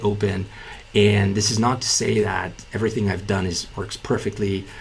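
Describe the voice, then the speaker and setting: A man at a fairly quick pace, fairly low in pitch, over noticeable background noise. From Bulgaria. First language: Bulgarian. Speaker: entrepreneur and business YouTuber. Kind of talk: casual talking-head video explainer. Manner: many fillers and self-repeats.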